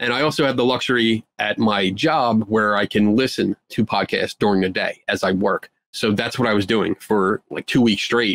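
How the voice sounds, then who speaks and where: A man with a Philadelphia accent, medium pitch, fairly even intonation, a moderate pace and hardly any pauses. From Philadelphia, US. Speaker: skeptic investigator. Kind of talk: podcast interview.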